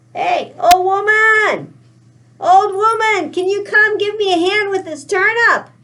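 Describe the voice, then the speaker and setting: A woman does a put-on character voice at an extremely high pitch, talking at a fairly slow pace with fairly even intonation. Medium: read story.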